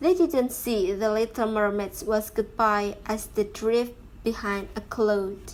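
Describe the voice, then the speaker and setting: With a non-native accent, a woman talks at a very slow pace in a fairly high pitch, showing ordinary pitch variation. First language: not English. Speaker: YouTuber reading stories. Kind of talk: reading aloud. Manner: halting.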